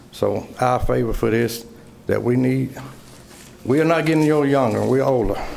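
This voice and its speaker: A man speaks with an American accent at a moderate pace, his pitch medium and his intonation fairly even. Room echo is audible. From US South. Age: 60s. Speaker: resident speaking at public hearing. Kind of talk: public comment. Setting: city council chamber podium.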